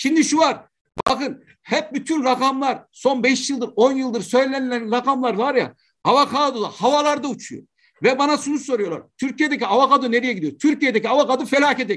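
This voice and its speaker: Over a quiet background, a man talks at a moderate pace with fairly even intonation. His pitch is extremely high for a man. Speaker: agricultural scientist. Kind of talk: lecture. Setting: video call.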